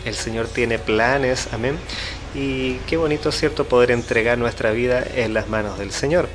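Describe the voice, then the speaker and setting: With music in the background, a man speaks at a moderate pace and medium pitch, with ordinary pitch variation. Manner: stammering from nerves.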